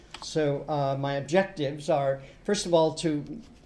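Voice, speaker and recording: A man with an American accent, fairly high-pitched with ordinary variation, in a room with audible echo. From United States and UK. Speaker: university lecturer. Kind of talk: lecture. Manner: hesitant, many fillers.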